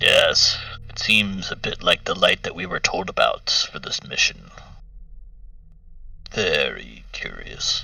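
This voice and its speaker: A man puts on a character voice with an extremely high pitch, speaking at a fairly slow pace. Long, frequent pauses break up his speech over light background noise. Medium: actual play. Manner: measured, musing, often opens with a thoughtful hum.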